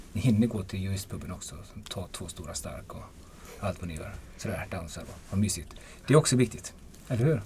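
Speaking very fast yet with long, frequent pauses, a man uses a fairly low pitch, a dark, mellow tone, some breathiness, lively intonation and big swings in loudness. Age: 50s. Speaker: defence lawyer. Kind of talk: casual chat.

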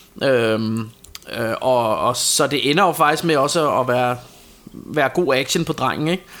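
A man's fairly high voice with ordinary pitch variation, at a fairly slow pace, amid noticeable background noise. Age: 40s. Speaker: podcast co-host. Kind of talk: casual chat. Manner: halting.

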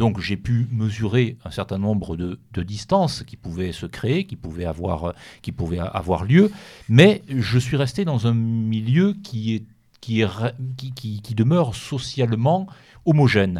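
A man talks very slowly on a very clean recording with a silent background. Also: medium pitch for a man, big swings in loudness. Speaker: author. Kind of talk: radio interview.

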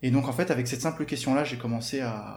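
A man with medium pitch and vocal fry speaks with fairly even intonation, and the room echo is audible. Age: 20s. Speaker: online fitness coach. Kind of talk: interview, personal experience. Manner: hesitant, repeats words.

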